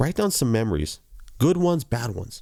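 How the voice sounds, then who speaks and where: An animated man's voice with vocal fry and very wide pitch swings. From Hawaii, Big Island (Hilo side). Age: 40s. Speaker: vlogger. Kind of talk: personal storytelling monologue. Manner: casual, animated.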